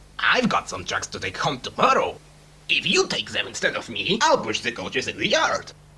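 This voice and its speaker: At a medium pace, the speaker delivers lines in an assumed character voice. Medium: fan dub. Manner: gentle, kind.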